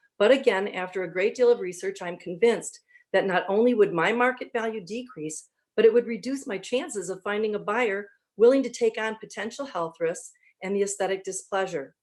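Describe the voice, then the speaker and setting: A woman at a medium pitch talks at a fairly quick pace. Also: ordinary pitch variation. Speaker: resident giving public comment. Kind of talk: prepared public comment. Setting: video call. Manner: fast.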